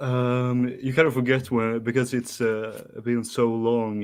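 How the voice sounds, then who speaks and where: The speaker has a Swedish accent and fairly even intonation. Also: man. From Sweden. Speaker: caller. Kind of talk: casual chat. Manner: halting, many fillers.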